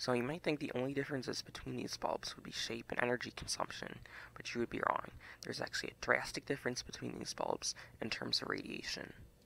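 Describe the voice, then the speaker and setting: A man whispering at a very fast pace. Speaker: radiation measurement presenter. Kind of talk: casual demonstration talk to camera. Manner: quiet, hushed.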